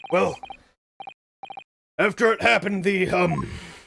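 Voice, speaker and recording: A man puts on a raspy character voice pitched high. He keeps a moderate pace. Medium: game stream. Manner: blustering, military jargon.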